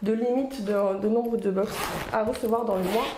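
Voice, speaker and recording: In a room with audible echo and noticeable background noise, a woman speaks in a fairly high voice with fairly even intonation. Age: 30s. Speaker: lifestyle vlogger. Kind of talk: product unboxing review. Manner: casual, hesitant with fillers.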